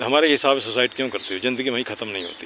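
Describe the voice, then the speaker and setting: Over noticeable background noise, a man is speaking. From Bihar, India (Munger area). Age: 60s. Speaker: community activist and English tutor. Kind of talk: casual outdoor chat with students. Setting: outdoors in a park. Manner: animated.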